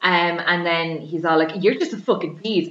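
A woman speaks with an Irish accent at a moderate pace. Her intonation is lively. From Ireland. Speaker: podcast host. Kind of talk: casual chat.

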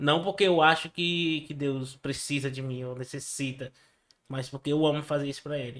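On a very clean recording with a silent background, a man with a fairly high pitch talks at a moderate pace in fairly even intonation. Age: 20s. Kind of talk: testimony. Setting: studio.

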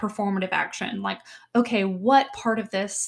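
A woman speaks with a fairly even intonation. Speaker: theatre artist and aspiring director. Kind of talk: solo podcast monologue.

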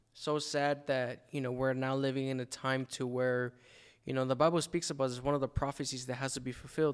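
The voice moves at a fairly quick pace with monotone, flat intonation. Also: man, medium pitch for a man. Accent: American. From El Paso, Texas. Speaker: podcaster. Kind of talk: interview with personal testimony. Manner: casual, slangy.

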